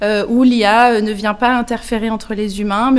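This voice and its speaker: Her pitch fairly high and her intonation monotone and flat, a woman moves along at a moderate pace. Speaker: nonprofit executive director. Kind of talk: interview. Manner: hesitant, many fillers.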